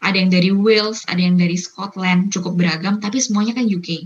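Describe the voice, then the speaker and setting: A woman talks at a fairly quick pace in a medium pitch. Her voice is somewhat breathy. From Indonesia. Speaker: university student. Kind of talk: interview.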